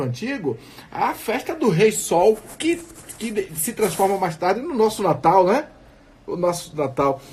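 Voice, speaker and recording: Over noticeable background noise, a man talks at a fairly slow pace. His pitch is high and swings very widely. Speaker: radio guest commentator explaining festival history. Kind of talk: radio talk show. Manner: measured, explanatory, with hesitations.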